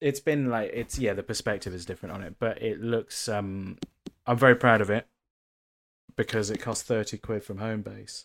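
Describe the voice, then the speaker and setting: A man with a southern English accent speaks at a moderate pace and a fairly low pitch, his intonation fairly even but his loudness swinging widely, in a very clean recording with a silent background. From England, Bath. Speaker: actor and comedian. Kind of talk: casual chat.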